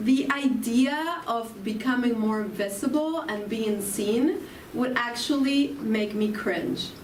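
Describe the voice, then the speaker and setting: Her pitch high, a woman speaks at a very slow pace in an Argentine accent. Room echo is audible. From Argentina. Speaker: spiritual speaker. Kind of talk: spiritual talk.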